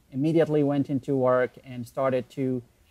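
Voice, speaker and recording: A man with an Arabic accent speaks at a fairly high pitch in a monotone, flat intonation. The sound is dry and close, with no echo. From Iraq, Baghdad. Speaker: online entrepreneur. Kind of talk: interview.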